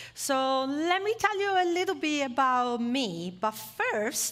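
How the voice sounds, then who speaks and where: A woman with an Italian accent and lively intonation. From Italy. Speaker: former motorcycle racer, esports industry speaker. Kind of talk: motivational talk to audience. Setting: stage with live audience, streamed online.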